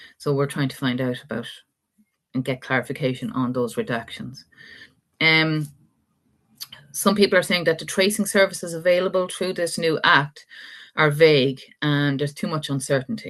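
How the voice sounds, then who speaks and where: Speaking with an Irish accent, a woman with a very deep, low pitch moves at a moderate pace, her lively intonation broken by long, frequent pauses against a quiet background. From Ireland. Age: 50s. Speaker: adoptee rights activist. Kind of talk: live interview talk.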